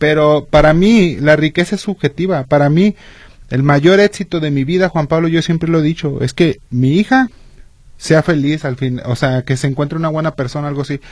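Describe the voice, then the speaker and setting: A man's fairly high, somewhat breathy voice at a moderate pace, with ordinary pitch variation and a dry, close sound without echo. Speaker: radio co-host. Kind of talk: radio talk show. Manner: halting.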